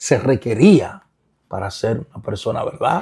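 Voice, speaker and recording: Speaking at a very slow pace, a man has a dark, mellow tone with vocal fry. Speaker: pastor and author. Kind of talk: interview. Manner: halting, repeats words.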